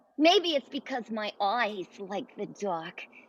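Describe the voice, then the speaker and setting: Pitched fairly high, a female-sounding voice performs a put-on character voice. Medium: audio drama. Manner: stammering, hesitant.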